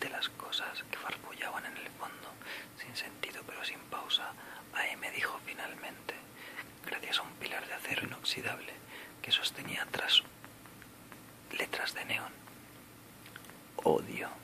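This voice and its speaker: Whispering at a fairly slow pace with long, frequent pauses, a man is heard over noticeable background noise. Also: big swings in loudness. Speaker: ASMR creator. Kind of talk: ASMR book reading for sleep. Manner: whispered, soft-spoken, slow.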